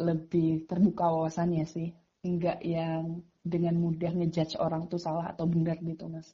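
The woman's voice carries a somewhat breathy quality. She keeps a moderate pace. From Magetan, East Java, Indonesia. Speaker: education nonprofit co-founder. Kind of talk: casual interview.

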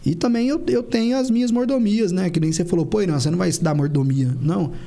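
Talking at a fairly quick pace, a man uses a high pitch with very wide pitch swings. Noticeable background noise runs underneath. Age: 30s. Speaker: dentist and clinic owner. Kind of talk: podcast interview.

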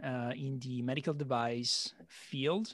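A medium-pitched man with an Italian accent and ordinary pitch variation. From Italy. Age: 30s. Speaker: podcast host and sales manager. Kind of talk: casual interview. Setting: remote call.

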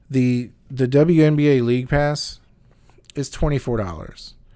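On a very clean recording with a silent background, a man speaks in a dark, mellow tone with fairly even intonation. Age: 40s. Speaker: podcast host. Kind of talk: casual solo podcast talk. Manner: hesitant with frequent fillers and restarts.

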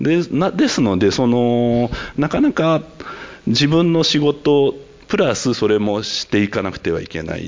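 Against noticeable background noise, a man speaks at a fairly slow pace. His medium-pitched voice moves in very wide pitch swings. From Tokyo. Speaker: winemaker. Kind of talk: panel discussion.

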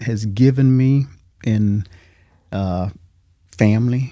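A man with an Alabama accent speaks in a dark, mellow tone with ordinary pitch variation. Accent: Southern US (Alabama). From Alabama, US South. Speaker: military veteran, father of co-host. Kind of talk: casual interview conversation.

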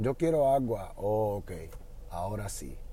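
A man with a Puerto Rican accent speaks at a medium pitch. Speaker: podcast host and Spanish teacher. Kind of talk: casual monologue. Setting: in a car.

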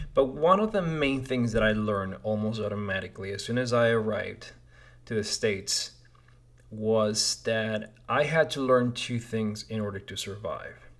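A man of medium pitch speaks at a moderate pace with a Spanish accent and ordinary pitch variation. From Peru (Lima). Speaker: podcast host. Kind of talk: casual monologue. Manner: hesitant, many fillers.

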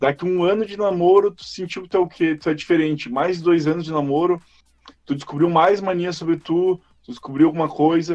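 Talking at a fairly quick pace, a man has a high pitch, fairly even intonation and big swings in loudness. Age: 20s. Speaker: podcast host. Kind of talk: casual chat.

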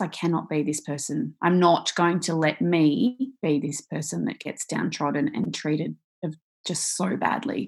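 A woman's very deep, low voice with an Australian accent, lively intonation and a moderate pace. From Australia, Victoria. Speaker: author and speaker, survivor. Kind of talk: interview, personal storytelling. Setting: video call.

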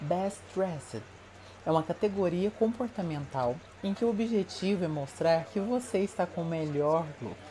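Somewhat breathy and dark, mellow in tone, a woman speaks at a fairly low pitch and a fairly slow pace with lively intonation. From Minas Gerais, Brazil (Uberlândia). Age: 20s. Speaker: fashion and beauty consultant, content creator. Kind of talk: scripted narration. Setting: home recording.

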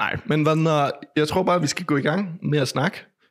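Using an ordinary speaking voice, a man with a fairly high pitch speaks at a moderate pace. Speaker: podcast host. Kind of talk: casual chat. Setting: home. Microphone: echo from mic fault in first half.

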